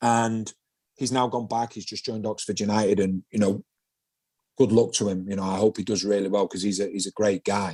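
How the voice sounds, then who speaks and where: In a Mancunian accent, a man with a fairly low pitch and dark, mellow tone speaks at a fairly quick pace, the sound dry and close with no echo. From Manchester, England. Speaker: former footballer, pundit. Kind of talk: podcast interview. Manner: animated.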